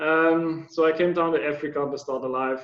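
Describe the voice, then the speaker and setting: A man with a German accent speaks at a fairly slow pace, his intonation fairly even. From Germany. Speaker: anti-poaching ranger. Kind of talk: interview. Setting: video call. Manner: halting, many fillers.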